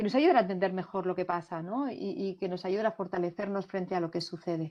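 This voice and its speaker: A woman speaks with ordinary pitch variation. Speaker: international cooperation consultant. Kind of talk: Q&A answer in a virtual talk. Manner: hesitant, many fillers.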